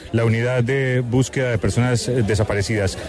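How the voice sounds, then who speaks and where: A man at a fairly quick pace, with crowd noise in the background. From Colombia. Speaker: radio reporter. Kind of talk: field reporting.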